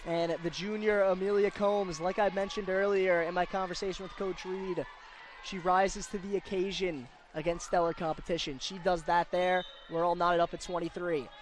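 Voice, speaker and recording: A man talks at a fairly quick pace in a high pitch with monotone, flat intonation, over noticeable background noise. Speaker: sports broadcaster. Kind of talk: live play-by-play volleyball commentary.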